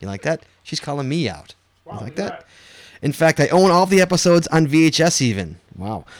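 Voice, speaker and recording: With a plain, everyday voice, a man talks at a fairly quick pace, his fairly high pitch moving in lively intonation and his loudness swinging widely. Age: 30s. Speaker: podcast co-host. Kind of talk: casual chat.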